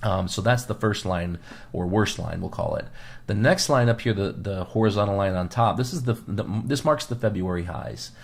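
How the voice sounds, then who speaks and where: Pitched fairly low and somewhat breathy, a man's voice moves at a moderate pace with an American accent and ordinary pitch variation. The recording is very clean, with a silent background. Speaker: financial advisor podcast host. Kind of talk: market commentary monologue.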